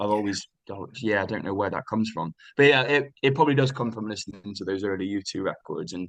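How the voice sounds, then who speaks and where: A man with a West Country accent, fairly low in pitch, at a fairly quick pace with lively intonation. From Bristol, England. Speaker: singer-songwriter. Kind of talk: interview answer. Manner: relaxed, conversational.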